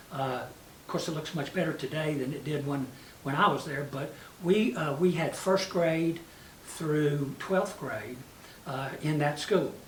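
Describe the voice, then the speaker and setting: A fairly slow man with a fairly high pitch and a Tennessee accent, ordinary pitch variation, noticeable background noise and audible room echo. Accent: Southern US (Tennessee). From US South, West Tennessee. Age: 70s. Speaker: mayor. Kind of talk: interview reminiscence. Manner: many fillers (uh, you know).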